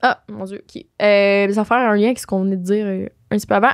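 A woman's fairly high voice with ordinary pitch variation, over a quiet background. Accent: Quebec. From Quebec. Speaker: podcast host. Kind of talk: casual chat. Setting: studio. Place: studio. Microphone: studio mic.

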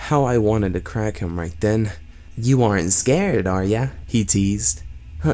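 Reading aloud in a natural voice, the speaker lets pitch vary normally.

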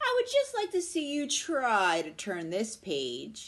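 A woman's put-on character voice, fairly high-pitched and fairly bright, with very wide pitch swings at a slow pace

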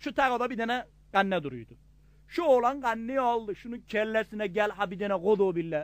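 A man with a Gaziantep accent speaks at a moderate pace with an extremely high pitch, a bright, sharp tone and lively intonation. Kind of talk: comic dialect joke telling.

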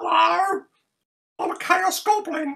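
The voice is a put-on character voice pitched extremely high. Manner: playful.

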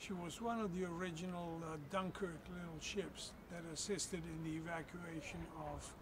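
Loud background noise fills the recording. A man speaks at a fairly slow pace. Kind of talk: personal storytelling to camera. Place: waterside.

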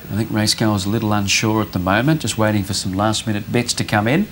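A man at medium pitch talks at a very fast pace. Noticeable background noise runs underneath. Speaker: racing presenter. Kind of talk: casual chat.

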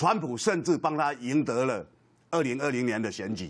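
A man talks at a moderate pace, his voice showing vocal fry. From Taiwan. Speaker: senior media commentator. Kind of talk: TV political panel talk. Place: studio.

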